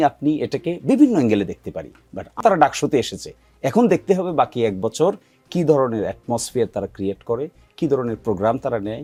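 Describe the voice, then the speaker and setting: Music plays in the background as a man speaks in a fairly high pitch with very wide pitch swings. The sound is dry and close, with no echo. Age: 40s. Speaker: political commentator. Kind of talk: heated debate. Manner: argumentative.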